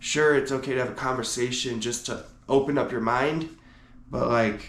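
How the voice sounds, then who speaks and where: In a room with audible echo, a man with a medium pitch speaks at a moderate pace with fairly even intonation. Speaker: podcast host. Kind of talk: solo podcast monologue. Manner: casual, conversational.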